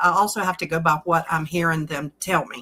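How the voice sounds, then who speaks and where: Fairly low in pitch, a woman speaks with a Southern US accent and a bright, sharp tone. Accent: Southern US drawl. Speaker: card reader. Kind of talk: tarot card reading. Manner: soft-spoken; halting.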